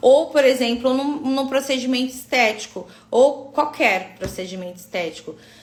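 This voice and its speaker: Over noticeable background noise, a woman speaks at a moderate pace in a high voice that makes very wide pitch swings. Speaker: aesthetic physiotherapy instructor. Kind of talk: online live class. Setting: live stream.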